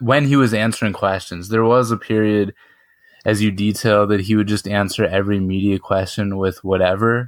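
The recording is very clean with a silent background, and a man speaks with an American accent in a plain, everyday voice. His pitch is fairly low, his pace moderate, his intonation fairly even and his loudness very even. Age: 20s. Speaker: podcast host. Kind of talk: interview.

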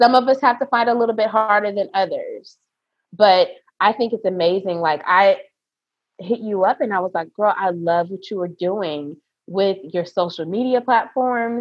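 Here is a woman with a normal speaking voice at a medium pitch. She talks at a moderate pace with ordinary pitch variation. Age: 30s. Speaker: esthetician and nurse. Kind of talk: casual interview.

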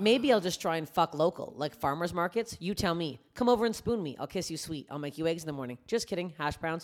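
A woman speaks in an ordinary speaking voice, pitched fairly low. Her intonation is lively and her pace fairly quick. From Canada. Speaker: comedian. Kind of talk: casual chat. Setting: studio.

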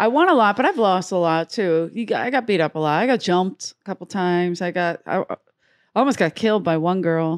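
In a very clean recording with a silent background and a dry, close sound with no echo, a woman with a Philadelphia accent talks at a fairly quick pace in a medium pitch with ordinary pitch variation. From US Northeast, South Philadelphia. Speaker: comedian. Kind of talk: casual chat.

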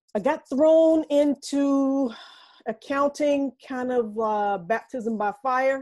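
A dark, mellow tone with an American accent, at a very slow pace with ordinary pitch variation, over a quiet background. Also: woman, high pitch for a woman. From North Carolina. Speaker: tax and finance advisor. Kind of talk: casual interview. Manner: repeats words, stammering restarts.

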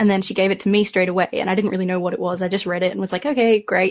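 The speaker has an Australian accent and fairly even intonation. The background is quiet. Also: woman. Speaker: podcast panelist. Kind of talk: casual chat.

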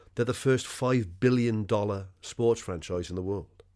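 A Welsh accent in a very clean recording with a silent background. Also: man. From Wales. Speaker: sports podcast co-host. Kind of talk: casual chat.

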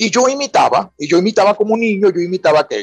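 Dry and close with no echo, a man talks at a moderate pace with lively intonation. He has a plain, everyday voice. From Venezuela, Falcón (Paraguaná). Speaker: writer and university professor. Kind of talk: radio interview.

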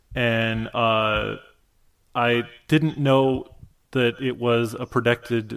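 This man speaks with a Midwestern American accent. His pitch is medium and his intonation fairly even. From US Midwest, Michigan. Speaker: cartoonist and writer. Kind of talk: casual interview chat. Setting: video call.

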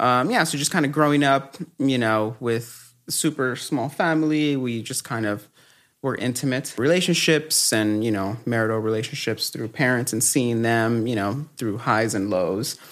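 An ordinary speaking voice from a man with an American accent, medium in pitch with ordinary variation, at a moderate pace, on a very clean recording with a silent background. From Los Angeles, Echo Park. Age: 30s. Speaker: guest sharing faith testimony. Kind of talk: testimony.

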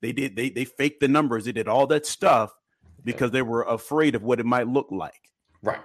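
A man with a medium-pitched, normal speaking voice talks at a fairly quick pace. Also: ordinary pitch variation. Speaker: faith-based co-host. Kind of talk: live-streamed discussion.

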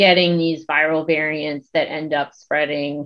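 In a plain, everyday voice, a woman with an American accent talks fairly slowly at a fairly low pitch. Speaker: epidemiologist and social media creator. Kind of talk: casual interview chat. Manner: conversational, laughs often.

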